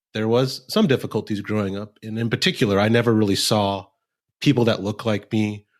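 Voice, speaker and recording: The recording is very clean, with a silent background. A man with an American accent talks at a moderate pace. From Nebraska, US Midwest. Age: 30s. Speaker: lawyer and bird dog trainer. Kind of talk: podcast interview.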